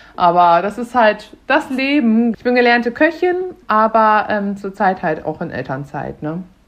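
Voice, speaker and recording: A woman's fairly high voice at a fairly slow pace, with very wide pitch swings and big swings in loudness. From Germany, Münster (NRW). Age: 30s. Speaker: cook and mother. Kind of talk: casual chat.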